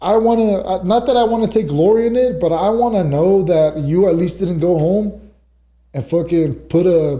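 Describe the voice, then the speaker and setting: Dark, mellow tone with ordinary pitch variation. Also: man. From Los Angeles, California. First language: Spanish. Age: 30s. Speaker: correctional officer and fighter. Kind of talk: casual podcast interview.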